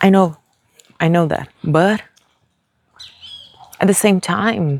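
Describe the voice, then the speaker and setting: The speaker has a Brazilian Portuguese accent. The pace is very slow. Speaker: vlogger. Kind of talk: casual vlog monologue. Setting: outdoors, walking on the street. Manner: hesitant, with fillers.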